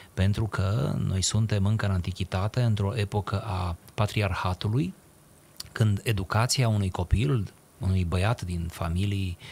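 Fairly slow and somewhat breathy, a man speaks at a fairly low pitch with fairly even intonation. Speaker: radio talk show guest. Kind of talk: interview answer, lecture-like explanation. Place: studio. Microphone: studio mic.

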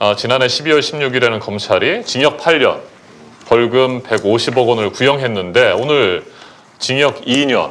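A man delivers his words at a fairly slow pace. His voice sits fairly high in pitch. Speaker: live show host, former reporter-turned news anchor. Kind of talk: live talk show. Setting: studio. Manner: formal. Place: studio. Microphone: lapel.

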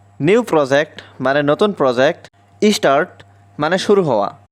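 The man's pitch swings very widely, captured in a dry, close sound with no echo. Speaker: English teacher. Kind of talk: language lesson.

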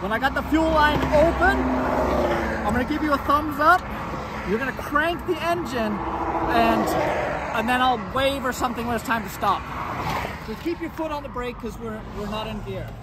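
Moderate pace and ordinary pitch variation, with a dry sound free of echo over loud background noise. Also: man. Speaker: mechanic video host. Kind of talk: casual vlog chat. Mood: good-humoured despite the breakdown. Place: street. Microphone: phone near.

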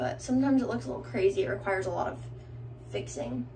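Very fast speech from a woman over light background noise. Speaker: lifestyle vlogger. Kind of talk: casual vlog chat.

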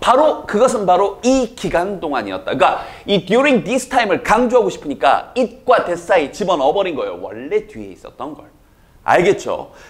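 With big swings in loudness and very wide pitch swings, a man with a high pitch speaks at a moderate pace. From South Jeolla, Korea; South Korea. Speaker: English teacher. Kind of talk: lecture. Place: studio. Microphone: lapel.

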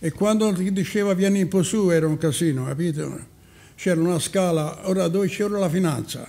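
A man speaks at a fairly quick pace in a high pitch. His loudness stays very even, with ordinary pitch variation. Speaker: elderly local storyteller. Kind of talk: reminiscing casual chat.

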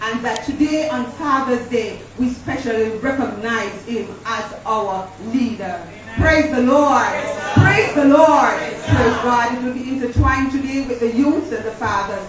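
A woman speaks at a fairly slow pace with ordinary pitch variation. Room echo is audible, and loud noise fills the background. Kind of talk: church announcement. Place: church.

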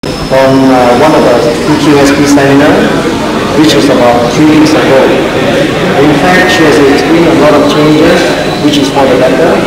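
Over loud background noise, a man speaks at a moderate pace in a room with audible echo. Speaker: seminar host. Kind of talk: interviewer. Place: hall. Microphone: handheld.

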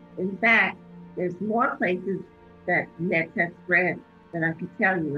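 Faint music plays behind a woman who speaks at a fairly slow pace with ordinary pitch variation. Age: 50s. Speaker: cancer patient. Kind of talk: interview answer. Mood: calm, earnest, reflective. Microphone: phone near.

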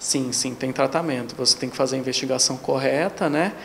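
With light background noise, a man talks at a moderate pace in a fairly high voice with fairly even intonation. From Brazil, São Paulo state interior. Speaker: gynecologist. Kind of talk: interview. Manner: halting, frequent fillers. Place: office. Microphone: handheld.

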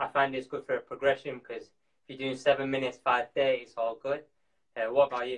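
A man with a Yorkshire accent at a fairly quick pace, flat and monotone, with big swings in loudness over a quiet background. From Yorkshire, Bradford. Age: 20s. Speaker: professional distance runner. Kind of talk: live stream Q&A; workout tutorial. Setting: live video stream from home. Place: home room. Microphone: video call.

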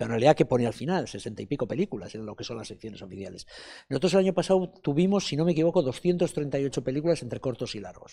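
The voice has a dark, mellow tone and races along at a very fast pace, with very wide pitch swings and big swings in loudness against a quiet background. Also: man, fairly high pitch for a man. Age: 60s. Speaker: film festival director; interviewee. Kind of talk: interview. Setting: festival interview set. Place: hall. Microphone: handheld.

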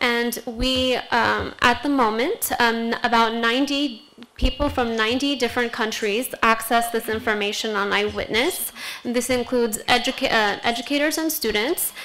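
A high-pitched woman speaks with fairly even intonation. Light background noise can be heard. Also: moderate pace. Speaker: education specialist; presenter. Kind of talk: panel presentation. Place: hall. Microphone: podium.

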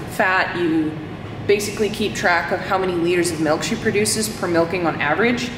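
A woman's voice with ordinary pitch variation over noticeable background noise. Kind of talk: casual vlog chat. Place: farm machine. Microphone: phone near.

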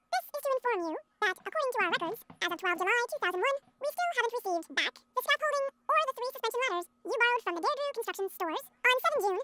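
Someone does a squeaky, put-on character voice at a very fast pace. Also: female-sounding voice, extremely high pitch for a woman. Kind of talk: formal, official.

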